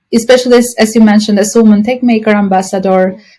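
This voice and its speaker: A woman speaks with an Albanian accent. Her pitch is fairly high and her intonation fairly even. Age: 30s. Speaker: university professor. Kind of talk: podcast interview.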